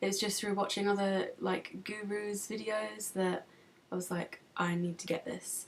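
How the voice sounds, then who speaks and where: A woman with an English accent at a moderate pace. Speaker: beauty vlogger. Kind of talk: product review vlog. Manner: casual, hesitant with many ums.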